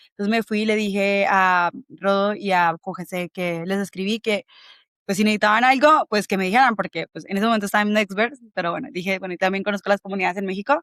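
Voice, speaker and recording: The sound is dry and close with no echo. A woman talks at a very fast pace with ordinary pitch variation. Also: medium pitch for a woman, very clean recording, silent background. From Colombia. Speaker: bitcoin community organizer. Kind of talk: interview conversation.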